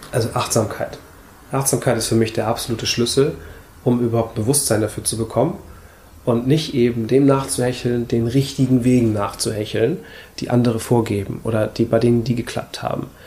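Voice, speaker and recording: This man has a dark, mellow tone that is somewhat breathy, a medium pitch, fairly even intonation and a fairly quick pace. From Hamburg, northern Germany. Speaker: minimalism blogger and YouTuber. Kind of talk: casual interview conversation. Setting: coworking space, seated on wood shavings.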